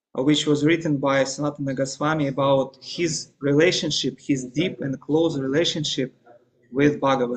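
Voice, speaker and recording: Speaking with a Russian accent, a man with a fairly high pitch keeps a moderate pace and fairly even intonation. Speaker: religious teacher. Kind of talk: lecture. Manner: halting.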